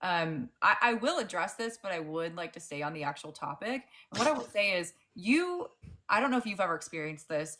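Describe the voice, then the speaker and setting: This woman's voice has a fairly low pitch with very wide pitch swings and big swings in loudness. She speaks at a fairly quick pace in a bright, sharp tone. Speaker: debate livestream host. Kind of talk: live debate.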